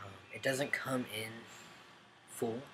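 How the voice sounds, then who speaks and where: There's audible room echo and noticeable background noise in this recording. A man talks at a moderate pace. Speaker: vlogger. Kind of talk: casual video update. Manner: mumbling; hesitant, many ums.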